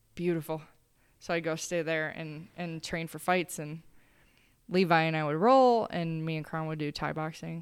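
A woman's normal speaking voice, fairly low in pitch, at a moderate pace with fairly even intonation, in a very clean recording with a silent background. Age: 30s. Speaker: martial arts fighter and coach. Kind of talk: casual chat.

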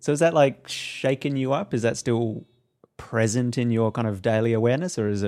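A man speaks very fast at a medium pitch, in an Australian accent. His tone is dark and mellow, with ordinary pitch variation. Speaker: podcast co-host. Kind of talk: casual chat.

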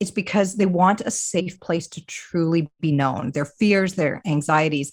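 A normal speaking voice with a Canadian accent, ordinary pitch variation and a moderate pace, on a very clean recording with a silent background. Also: woman. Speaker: ministry director. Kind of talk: interview.

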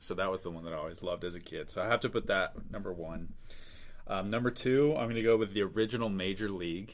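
A man with an American accent, fairly low in pitch, at a very fast pace. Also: ordinary pitch variation. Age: 20s. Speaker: baseball draft writer. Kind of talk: casual interview chat.

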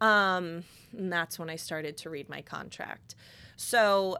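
A woman with an American accent and an unremarkable speaking voice talks with a fairly low pitch and fairly even intonation. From Connecticut. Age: 20s. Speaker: podcast host, salon owner. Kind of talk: casual chat. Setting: studio.

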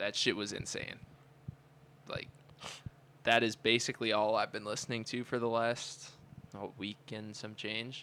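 With an American accent, a man speaks at a medium pitch in a bright, sharp tone. His intonation is monotone and flat, at a moderate pace with long, frequent pauses. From Cleveland, Ohio. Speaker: college student podcast co-host. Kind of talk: casual chat.

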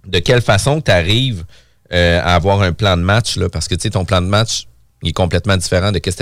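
A very deep, low-pitched man at a very fast pace, with ordinary pitch variation, on a very clean recording with a silent background. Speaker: podcast host, real estate broker. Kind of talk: casual chat.

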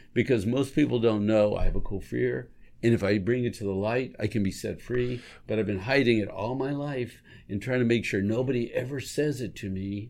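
Fairly quick in pace, a man speaks in an unremarkable speaking voice with a medium pitch and fairly even intonation. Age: 60s. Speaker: recovery ministry co-host. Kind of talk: casual chat.

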